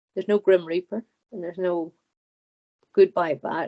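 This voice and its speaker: The speaker has an Irish accent and a fairly quick pace. Pitch variation is ordinary. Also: woman. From Ireland. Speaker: hypnotherapy client. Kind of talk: channeled speech under hypnosis. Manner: halting.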